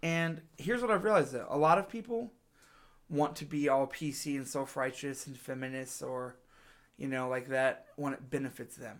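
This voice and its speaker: An ordinary speaking voice from a man, fairly high in pitch, at a moderate pace with big swings in loudness. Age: 30s. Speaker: podcast host, musician. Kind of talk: casual chat.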